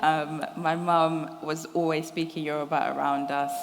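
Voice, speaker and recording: A woman with a London accent and a very deep, low pitch speaks with audible room echo. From London, England. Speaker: writer. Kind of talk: interview. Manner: hesitant, many fillers.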